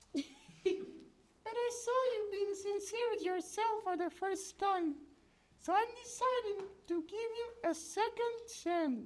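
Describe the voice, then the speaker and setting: A cartoonish character voice at extremely high pitch moves at a fairly slow pace. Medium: puppet. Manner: scolding, exasperated.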